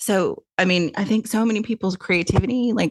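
In a plain, everyday voice with an American accent, a woman speaks at a moderate pace with fairly even intonation, the sound dry and close with no echo. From US South, Tennessee. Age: 50s. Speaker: podcast host, author and publisher. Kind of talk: casual interview chat.

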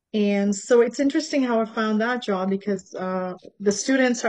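A woman talks in an unremarkable speaking voice at a moderate pace, with ordinary pitch variation. The background is quiet. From Canada, born in Tanzania. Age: 50s. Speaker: healer and fitness teacher. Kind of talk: casual interview.

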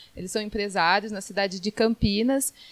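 With a plain, everyday voice, a woman speaks at a moderate pace and a fairly high pitch, in a dry, close sound with no echo. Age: 30s. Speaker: lawyer. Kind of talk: radio interview. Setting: studio.

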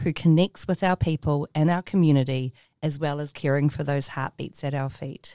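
A woman speaks at a moderate pace with a New Zealand accent. The recording is very clean and silent behind her, with a dry, close sound and no echo. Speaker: podcast host. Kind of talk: interview; scripted narration. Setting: studio.

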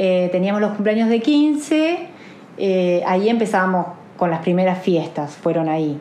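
A woman at medium pitch speaks at a fairly slow pace with lively intonation and very even loudness. Noticeable background noise and audible room echo fill the recording. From Argentina, Olavarría (Buenos Aires province). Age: 40s. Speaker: interviewee. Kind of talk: interview.

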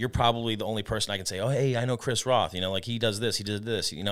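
A man's fairly low voice at a very fast pace with ordinary pitch variation, on a very clean recording with a silent background. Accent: American. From Arizona (Tucson). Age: 30s. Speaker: chef. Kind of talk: casual chat.

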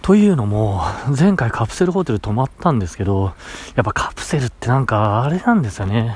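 Over noticeable background noise, a man talks at a fairly quick pace. His medium pitch swings very widely. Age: 30s. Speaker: podcaster. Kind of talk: casual solo diary podcast.

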